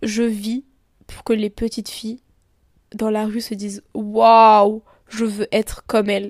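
On a very clean recording with a silent background, a woman speaks at a very slow pace with long, frequent pauses. Her intonation is monotone and flat. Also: fairly high pitch for a woman. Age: 20s. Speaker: podcaster. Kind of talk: casual monologue. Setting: lying in bed at home. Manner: hesitant, many fillers.

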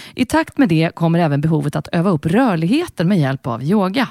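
A woman's dark, mellow tone at a fairly quick pace with lively intonation, dry and close with no echo, in a very clean recording with a silent background. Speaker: podcast host and singer. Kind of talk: interview.

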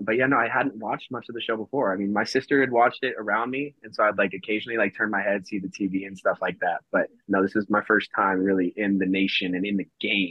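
A man with a fairly low pitch, a very fast pace, hardly any pauses and fairly even intonation. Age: 20s. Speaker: reality TV contestant, travel nurse. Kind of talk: casual chat. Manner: halting, many fillers.

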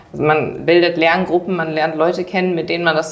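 Noticeable background noise under a woman's very deep, low voice. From Germany, Düsseldorf area. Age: young. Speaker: trainee and dual student. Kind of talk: interview.

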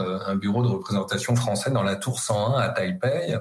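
Here a man talks at a medium pitch and a moderate pace. His voice is somewhat breathy. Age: 50s. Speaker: university professor, China specialist. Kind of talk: interview. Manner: hesitant, many filler words.

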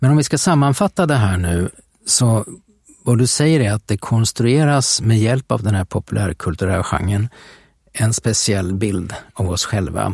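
A somewhat breathy man of medium pitch speaks at a moderate pace with lively intonation and very even loudness, in a very clean recording with a silent background. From Sweden, Västervik. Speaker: podcast host. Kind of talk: casual conversation about history. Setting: studio.

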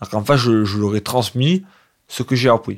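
This man's voice sits at a medium pitch and moves at a moderate pace. The recording is very clean and the background is silent. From Provence, southern France. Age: 20s. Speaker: care home resident and amateur singer. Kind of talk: personal testimony. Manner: halting.

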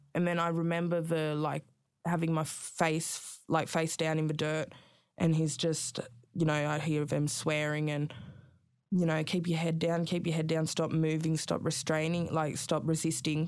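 A woman with an Australian accent speaks at a moderate pace in a very deep, low voice, her intonation flat and monotone. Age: 20s. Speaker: rapper and artist sharing her story of prison birth. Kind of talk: interview, personal testimony. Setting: in-person studio interview. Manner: soft-spoken, polite.

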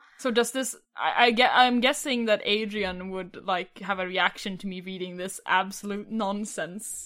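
With a Swedish accent, a woman speaks at a moderate pace and a medium pitch in a bright, sharp tone, with ordinary pitch variation, big swings in loudness and hardly any pauses. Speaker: tabletop game player.

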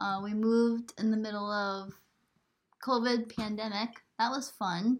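Soft-spoken, a woman talks with an American accent. Her intonation stays fairly even. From New York. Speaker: farmer and podcast host. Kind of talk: casual chat. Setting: home recording by laptop.

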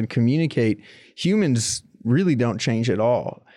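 A dark, mellow tone with ordinary pitch variation. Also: man. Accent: American. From Florida, Tampa area. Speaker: documentary journalist. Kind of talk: interview about history.

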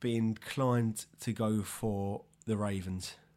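A man speaks at a medium pitch. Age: 30s. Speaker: sports podcast co-host. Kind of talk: casual chat.

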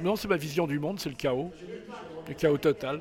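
Noticeable background noise sits under the voice. Its pitch varies in an ordinary way. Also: man. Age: 60s. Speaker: photographer. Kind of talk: interview. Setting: book signing event. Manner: halting.

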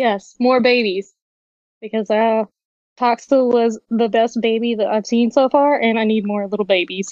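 Speaking with a Southern US accent, a woman keeps a moderate pace. Her pitch is fairly high and her intonation fairly even. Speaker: community member. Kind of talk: casual chat. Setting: video call.

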